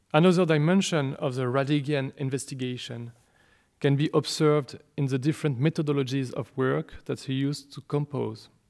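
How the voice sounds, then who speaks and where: Fairly quick speech from a man with fairly high pitch and fairly even intonation, on a very clean recording with a silent background. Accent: French. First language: French. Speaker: speaker on a composer's work. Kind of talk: lecture. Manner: formal.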